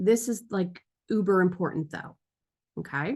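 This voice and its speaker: A woman speaks in a somewhat breathy voice. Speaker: podcasting teacher. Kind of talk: tutorial.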